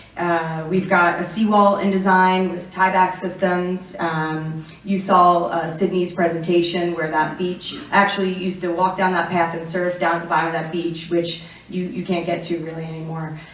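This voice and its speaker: With an American accent, a woman of fairly low pitch talks in a monotone, flat way with hardly any pauses, amid audible room echo. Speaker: city councilmember. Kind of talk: conference presentation. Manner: fast; hesitant with fillers.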